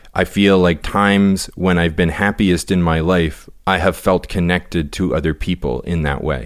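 Speaking with a very deep, low pitch, a man keeps a moderate pace and fairly even intonation with hardly any pauses, in a very clean recording with a silent background. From Canada. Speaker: yoga teacher and author. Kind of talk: casual interview, personal confessions.

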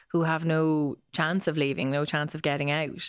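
Speaking in an Irish accent at a moderate pace, a woman with a very deep, low pitch keeps a monotone, flat intonation in a very clean recording over a silent background. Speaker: news correspondent. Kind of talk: casual news discussion.

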